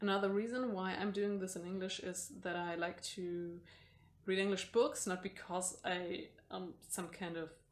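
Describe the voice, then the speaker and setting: Speaking at a moderate pace, a woman with a German accent holds a medium pitch and fairly even intonation. Audible room echo surrounds her voice. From Germany. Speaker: booktuber. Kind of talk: casual vlog. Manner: mumbling, hesitant.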